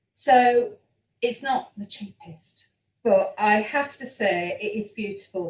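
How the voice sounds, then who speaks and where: A woman speaks at a fairly slow pace with a Yorkshire accent. Her voice is somewhat breathy. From Yorkshire, northern England. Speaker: online knitting show host. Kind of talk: casual chat.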